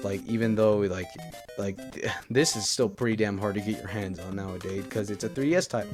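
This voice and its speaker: Over music in the background, a man with a fairly low pitch talks at a fairly quick pace with ordinary pitch variation. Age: young. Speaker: gaming youtuber. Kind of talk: casual talk to camera.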